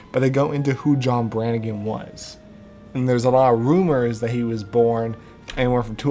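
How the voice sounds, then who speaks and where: The speaker talks at a moderate pace with fairly even intonation as music plays in the background. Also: man. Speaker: podcast co-host. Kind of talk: casual podcast talk recapping a novel.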